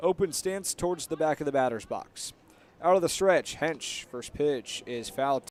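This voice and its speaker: In a normal speaking voice, a man talks at a fairly slow pace and a fairly high pitch with ordinary pitch variation, the sound dry and close with no echo. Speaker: radio play-by-play announcer. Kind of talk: live baseball radio play-by-play.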